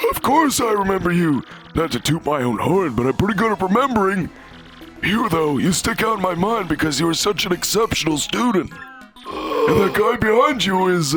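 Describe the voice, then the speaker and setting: Putting on a creaky character voice, a man talks at a moderate pace in a high pitch with lively intonation and very even loudness, while clear music plays behind him. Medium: game stream. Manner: rambling, scholarly.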